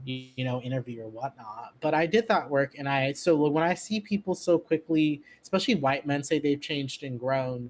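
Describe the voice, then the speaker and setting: Someone with an Orange County accent speaks at a moderate pace. There are hardly any pauses. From US West Coast, Orange County California. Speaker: podcast guest, leftist commentator. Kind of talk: casual political chat. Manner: animated.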